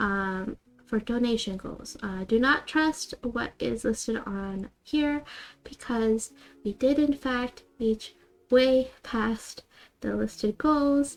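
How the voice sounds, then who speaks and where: Her voice is soft-spoken and high-pitched, with ordinary pitch variation. The woman speaks at a very slow pace. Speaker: streamer. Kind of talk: live stream chat. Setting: live stream. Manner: soft ASMR-style voice.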